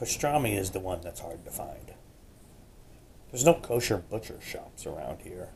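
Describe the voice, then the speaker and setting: This man's pitch sits fairly low and swings very widely, with vocal fry throughout. He keeps a moderate pace, broken by long, frequent pauses. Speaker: homesteader. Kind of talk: casual food talk to camera. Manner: whispered.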